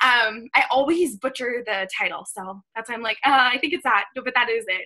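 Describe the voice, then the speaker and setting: A woman speaks in a high pitch with lively intonation and a bright, sharp tone. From US Northeast, Boston. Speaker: fitness coach. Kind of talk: motivational talk on a team call. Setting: video call with screen share. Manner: fast; animated.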